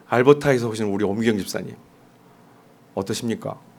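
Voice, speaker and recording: Lively intonation carries speech that moves at a moderate pace. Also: man. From South Korea, Jeolla region. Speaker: pastor. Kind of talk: sermon. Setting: church.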